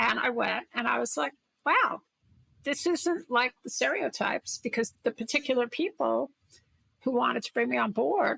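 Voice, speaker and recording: The speech moves at a moderate pace, and the sound is dry and close with no echo. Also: woman. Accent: Brooklyn. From Brooklyn, New York City. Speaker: corporate innovation executive and investor. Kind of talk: interview conversation.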